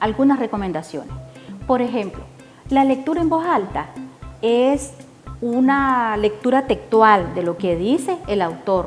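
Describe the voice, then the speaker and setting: A woman with a Nicaraguan accent at a fairly high pitch, with very wide pitch swings, a fairly slow pace and long, frequent pauses, plus music in the background. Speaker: poet and reading promoter. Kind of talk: instructional talk to camera.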